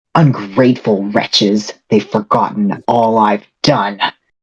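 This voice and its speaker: A man in a put-on character voice, fairly low-pitched, at a fairly slow pace. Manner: resentful, murmuring then clear.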